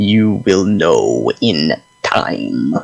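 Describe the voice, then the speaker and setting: A man's put-on character voice over music in the background. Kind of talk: formal ceremonial proclamation. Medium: actual play. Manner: haughty, commanding, bored.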